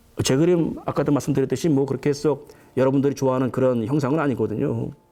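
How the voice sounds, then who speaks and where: Speaking at a very fast pace, a man with a medium pitch and a dark, mellow tone keeps a fairly even intonation. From Korea, Chungcheong province. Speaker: painter and art professor. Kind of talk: lecture. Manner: speeds up as he goes.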